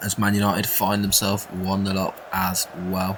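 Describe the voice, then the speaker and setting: With an English accent, a man speaks at a very deep, low pitch. His pace is fairly slow against noticeable background noise. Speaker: gaming YouTuber. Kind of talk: video game commentary. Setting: home recording at night. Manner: quiet.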